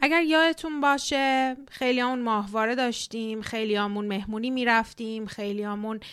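Speaking at a fairly quick pace, a woman with a fairly high pitch and ordinary pitch variation comes through on a very clean recording with a silent background. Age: 30s. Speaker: podcast host, immigration psychology counselor. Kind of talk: solo podcast monologue. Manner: warm, animated.

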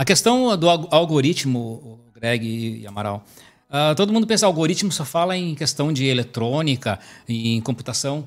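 This man has a normal speaking voice, pitched fairly high, and moves at a moderate pace with lively intonation. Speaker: civil engineer. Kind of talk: casual chat. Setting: live stream.

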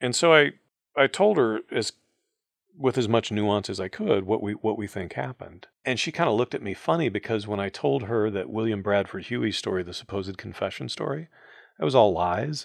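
Against a quiet background, a man with vocal fry speaks at a fairly low pitch with lively intonation, the sound dry and close with no echo. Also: fairly quick pace. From US Midwest, Ohio. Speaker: communications professor and author. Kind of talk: interview.

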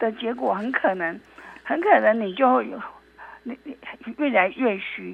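A woman speaks at a fairly slow pace with lively intonation, leaving long, frequent pauses. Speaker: traditional Chinese medicine doctor. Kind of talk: interview. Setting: remote call. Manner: halting, repeats words.

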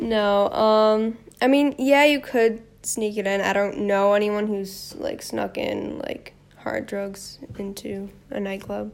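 With a Chicago accent, a woman talks at a very slow pace. Her pitch is medium, with ordinary pitch variation. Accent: Chicago American. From US, Chicago. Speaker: traveler. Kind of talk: casual chat.

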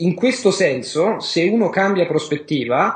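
This man's voice sits high in pitch. His intonation is lively, and his delivery fairly slow. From Rome, Italy. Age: 30s. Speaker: polyglot and language learning teacher. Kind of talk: interview.

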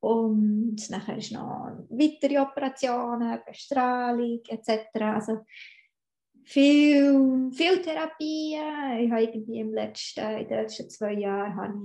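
Speaking at a very slow pace, a woman with a high pitch shows big swings in loudness. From Switzerland, Bern. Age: 30s. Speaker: cancer patient, software engineer and dance teacher. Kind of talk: personal interview testimony.

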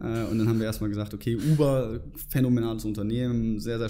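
Audible room echo surrounds a man's dark, mellow, medium-pitched voice. He speaks at a moderate pace with fairly even intonation. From northern Germany, near Hamburg. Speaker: former student club member, finance professional. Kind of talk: interview. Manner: hesitant with many fillers.

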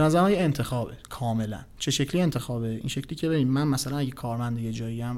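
The man has a medium pitch and a dark, mellow tone. He speaks at a very fast pace. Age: 30s. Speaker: investment company executive. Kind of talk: casual interview chat.

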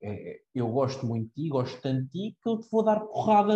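Somewhat breathy male speech, dark and mellow in tone, with very wide pitch swings at a fairly quick pace. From Portugal, Cascais. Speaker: university student. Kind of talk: casual chat.

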